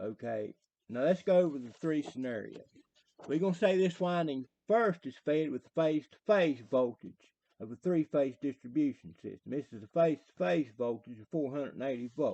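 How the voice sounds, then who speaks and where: A strong Southern West Virginia accent at a moderate pace, with lively intonation, a dark, mellow tone and big swings in loudness. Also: man, fairly high pitch for a man. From US South, southern West Virginia. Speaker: electrician explaining theory. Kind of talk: tutorial. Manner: casual, hesitant with fillers.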